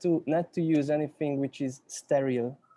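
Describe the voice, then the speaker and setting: With a Hungarian accent, a man speaks in a dark, mellow tone. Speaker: cinematographer. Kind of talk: panel discussion. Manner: halting, many repetitions and fillers.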